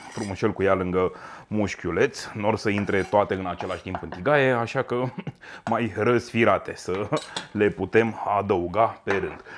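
A man talks at a moderate pace with an animated tone. Noticeable background noise can be heard. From Romania. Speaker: chef; cooking show host. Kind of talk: cooking tutorial. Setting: home kitchen. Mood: warm, chatty. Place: kitchen.

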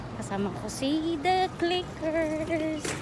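Noticeable background noise sits behind a woman's voice, which sounds dry with no echo. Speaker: vlogger. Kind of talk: casual vlog chat. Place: street. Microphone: phone near.

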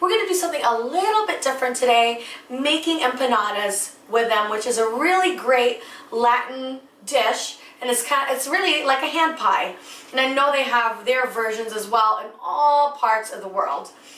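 The pace is moderate. Room echo can be heard. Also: woman, high pitch for a woman. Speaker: cooking show host. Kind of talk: tutorial. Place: kitchen.

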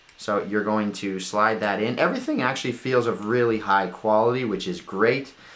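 Ordinary pitch variation at a moderate pace. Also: man. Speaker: tech reviewer. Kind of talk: product review tutorial. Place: home room. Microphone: camera far.

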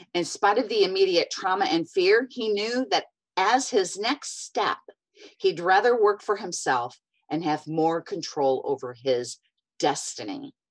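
Vocal fry runs through a woman's fairly slow speech. Her pitch swings very widely over a quiet background. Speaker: podcast host. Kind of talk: interview intro. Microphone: earbuds.

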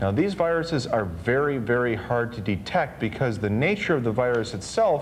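The voice makes very wide pitch swings. Light background noise sits behind it. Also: man. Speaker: TV show co-host. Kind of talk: lecture. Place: studio. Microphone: lapel.

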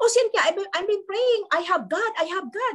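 A woman with an animated tone, over a quiet background. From Philippines. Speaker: network marketing mentor, former caregiver; leadership trainer. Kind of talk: motivational talk. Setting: video call. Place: home room. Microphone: webcam.

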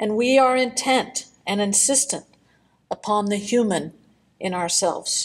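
A woman has a plain, everyday voice at a fairly high pitch. She speaks at a fairly slow pace. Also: ordinary pitch variation. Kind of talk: poetry reading, spoken word.

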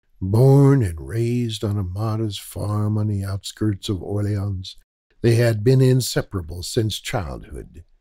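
With a dramatic tone, a man speaks at a fairly slow pace, his fairly low, somewhat breathy voice dark and mellow with ordinary pitch variation. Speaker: audiobook narrator. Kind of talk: literary audiobook narration. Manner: measured, dramatic storytelling delivery, formal and atmospheric.

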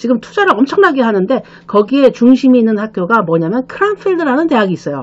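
Talking very fast, a woman moves through very wide pitch swings. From South Korea. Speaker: study-abroad consultant and channel host. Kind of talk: solo explainer video, casual talk to camera. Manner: filler-heavy, conversational with frequent 그렇죠. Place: office. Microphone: webcam.

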